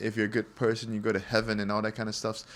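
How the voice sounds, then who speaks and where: With an American accent, a man is talking. The background is silent and the recording very clean. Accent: American-ish. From Singapore. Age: 20s. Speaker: podcast guest. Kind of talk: casual chat.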